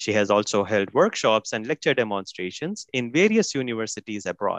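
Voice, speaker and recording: A man's dry, close voice with an Indian accent, very wide pitch swings and a quiet background. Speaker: event host. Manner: formal.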